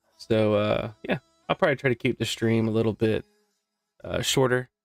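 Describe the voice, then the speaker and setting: A man speaks at a moderate pace with fairly even intonation. The sound is dry and close with no echo, and music plays in the background. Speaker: live stream host presenting a trading bot. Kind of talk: casual live stream tutorial. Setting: live stream with background music. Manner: casual, chatty.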